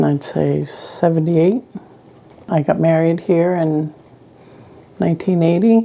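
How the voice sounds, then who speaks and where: Fairly slow speech with long, frequent pauses, very even loudness and ordinary pitch variation over noticeable background noise. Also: woman, fairly low pitch for a woman. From Prince Edward Island. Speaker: community elder. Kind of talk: interview.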